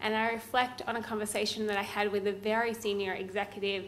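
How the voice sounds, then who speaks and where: A woman's fairly high voice in an Australian accent, fairly quick, with audible room echo and noticeable background noise. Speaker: law professor. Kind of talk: conference talk.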